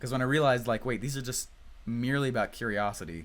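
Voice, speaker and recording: A man with an American accent at a very fast pace. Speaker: online marketing coach. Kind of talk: live webinar teaching. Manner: animated.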